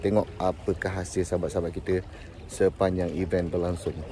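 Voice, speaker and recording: A man's very deep, low pitch and fairly even intonation in a dry sound with no echo, plus light background noise. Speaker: fishing vlogger. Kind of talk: casual vlog chat. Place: beach. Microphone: phone near.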